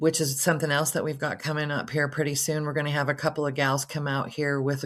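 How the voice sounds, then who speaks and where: A woman's very deep, low, monotone voice with flat intonation, on a very clean recording with a silent background. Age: 60s. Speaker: homesteader. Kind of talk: casual chat.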